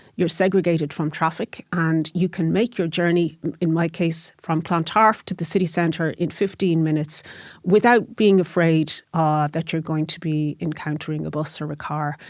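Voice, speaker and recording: The speaker has a Dublin accent and fairly even intonation. The recording is very clean, with a silent background. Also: woman, fairly low pitch for a woman, moderate pace. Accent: Irish (Dublin). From Ireland, Dublin. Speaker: lecturer and cycling activist. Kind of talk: interview. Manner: hesitant, with fillers and repetitions.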